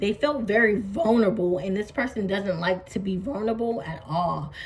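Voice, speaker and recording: A woman talks at a moderate pace at medium pitch with ordinary pitch variation. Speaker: tarot reader. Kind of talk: tarot reading to camera. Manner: halting.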